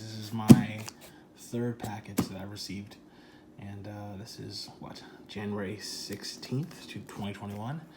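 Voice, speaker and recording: A fairly low-pitched man at a moderate pace, with big swings in loudness and music in the background. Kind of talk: casual unboxing talk to camera. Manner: lowered, quiet voice.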